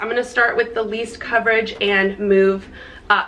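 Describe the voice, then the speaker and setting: The woman's fairly high voice moves at a moderate pace while noticeable background noise carries on behind her. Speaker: fitness and lifestyle vlogger. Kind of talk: product review vlog. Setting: outdoors, windy.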